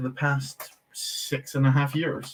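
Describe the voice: This man's voice sits at a medium pitch. There is little pitch movement.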